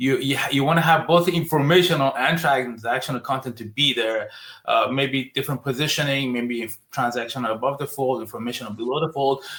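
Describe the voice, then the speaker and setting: This man has a fairly high pitch and a non-native accent, moving at a fairly quick pace with hardly any pauses and ordinary pitch variation. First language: not English. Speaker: digital marketing agency founder. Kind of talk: podcast interview.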